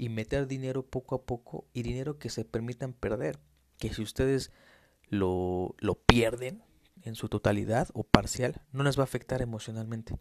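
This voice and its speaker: A man speaks with a Mexico City accent and ordinary pitch variation. The sound is dry and close, with no echo. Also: medium pitch for a man, moderate pace. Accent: Mexican Spanish (Mexico City). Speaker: financial trader and market analyst. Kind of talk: solo podcast monologue. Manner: hesitant, frequent fillers.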